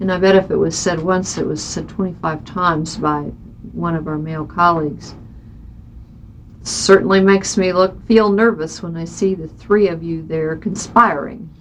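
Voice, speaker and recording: Heard with audible room echo, a woman with an American accent speaks at a moderate pace and fairly low pitch, her intonation fairly even but her loudness swinging widely. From Kansas, Johnson County (Kansas City area). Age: 50s. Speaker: state senator. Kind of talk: oral history interview.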